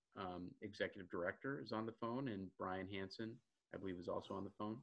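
Against a quiet background, a man with an unremarkable speaking voice talks at a fairly quick pace, his fairly low pitch carrying fairly even intonation. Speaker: presenter. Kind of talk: webinar presentation. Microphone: video call.

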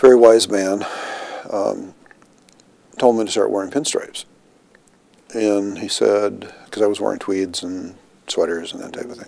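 In a dry sound with no echo, a man with an American accent speaks at a moderate pace, with long, frequent pauses and big swings in loudness. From Minnesota, US Upper Midwest. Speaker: health care executive; interviewee. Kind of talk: oral history interview. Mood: relaxed, amused storytelling. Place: office.

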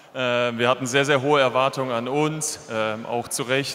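Music plays in the background. The voice moves at a moderate pace with fairly even intonation. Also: man. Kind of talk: farewell speech to fans. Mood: emotional, slightly hesitant. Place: stadium. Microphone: handheld.

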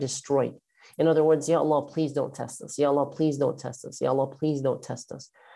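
A man speaks against a quiet background. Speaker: religious teacher. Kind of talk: lecture. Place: home room. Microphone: webcam.

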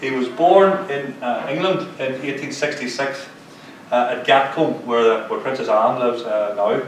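With a Mid Ulster accent, a man speaks at a fairly slow pace amid light background noise and audible room echo. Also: ordinary pitch variation. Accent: Mid Ulster Northern Irish. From Northern Ireland, County Tyrone; Northern Ireland. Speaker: local historian; lecturer on local war history. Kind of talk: lecture. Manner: halting. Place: hall. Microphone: camera far.

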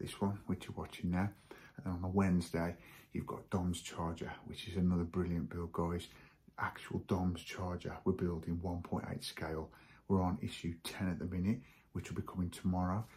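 A man's very deep, low voice, somewhat breathy, in a monotone, flat delivery. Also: moderate pace. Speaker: hobby model-building vlogger. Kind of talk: casual vlog chat. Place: garage. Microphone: phone near.

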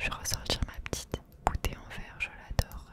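A soft-spoken woman whispers at a moderate pace. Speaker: ASMR creator. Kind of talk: soft whispered ASMR talk. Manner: soft ASMR whisper near mic. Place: home room. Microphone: studio mic.

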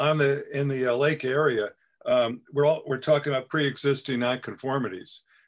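Against a quiet background, a man with an unremarkable speaking voice and a fairly high pitch speaks at a moderate pace with fairly even intonation. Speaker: board member. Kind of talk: committee meeting. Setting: video call. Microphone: video call.

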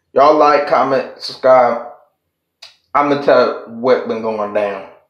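A man speaks against a quiet background. Audible room echo surrounds his voice. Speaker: vlogger. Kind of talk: casual vlog rant. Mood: annoyed, mocking, heated. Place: bathroom. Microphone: phone near.

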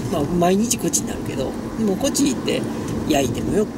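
Loud background noise surrounds a woman who speaks at a fairly quick pace. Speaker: vlogger. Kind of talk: casual vlog chat. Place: car. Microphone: phone near.

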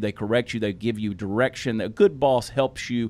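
A man speaks with a Southern US accent. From US South. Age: 40s. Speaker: comedian and podcast co-host. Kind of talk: casual chat. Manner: animated. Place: studio. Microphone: studio mic.

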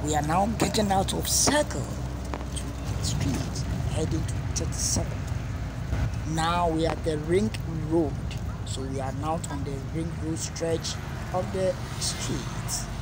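Over loud background noise, a man speaks at a fairly slow pace with long, frequent pauses, the sound dry with no echo. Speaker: vlogger narrating a drive. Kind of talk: casual vlog commentary. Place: car. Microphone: phone near.

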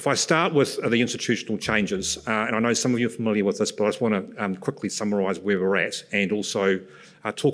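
A man talks at a very fast pace in a fairly low voice, with ordinary pitch variation. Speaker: presenter. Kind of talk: conference presentation. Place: stage. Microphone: podium.

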